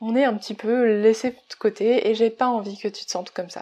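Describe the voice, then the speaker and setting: A woman speaks in a normal speaking voice, pitched fairly high, at a moderate pace. The background is quiet. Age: 20s. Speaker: business coach and podcaster. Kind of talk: solo podcast monologue.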